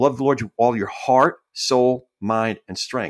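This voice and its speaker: A man with an American accent speaks at medium pitch in an ordinary speaking voice. His pace is fairly slow, and the recording is very clean with a silent background. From New York, Staten Island. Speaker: podcast guest sharing life story. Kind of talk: casual interview chat.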